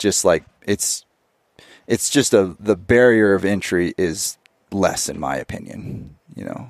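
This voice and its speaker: A man with a fairly low, fry-edged voice talks at a fairly slow pace with ordinary pitch variation, big swings in loudness and long, frequent pauses, in a dry, close sound with no echo. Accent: American. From California, Eastern Sierra. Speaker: professional snowboarder and hunter. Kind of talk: casual chat.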